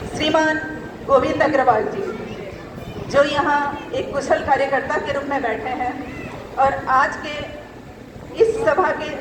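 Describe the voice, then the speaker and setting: Through audible room echo and noticeable background noise, a woman speaks at a high pitch with lively intonation. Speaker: chief speaker at community celebration. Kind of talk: public speech. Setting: stage with audience. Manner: blunt, harsh-toned speech.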